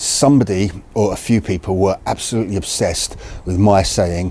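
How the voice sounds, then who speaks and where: A man is speaking. He has a British accent. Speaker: video creator on crossbows. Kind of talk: casual talk to camera. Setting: outdoors in the cold. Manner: halting, self-correcting.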